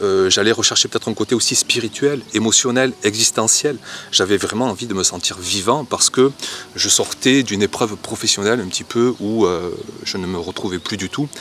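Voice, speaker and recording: Speaking at a moderate pace, a man with a fairly low voice is heard over noticeable background noise. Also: ordinary pitch variation. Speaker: gardening youtuber. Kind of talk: casual vlog talk. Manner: hesitant, many fillers.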